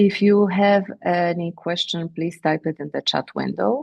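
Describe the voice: A woman with a fairly low pitch, slightly mellow tone and vocal fry talks at a fairly slow pace with fairly even intonation.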